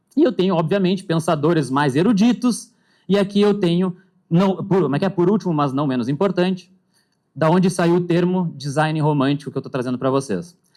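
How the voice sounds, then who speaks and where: On a very clean recording with a silent background, a man talks at a fairly quick pace in a high pitch with ordinary variation. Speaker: panel moderator. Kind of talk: conference talk. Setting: stage with audience. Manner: fast.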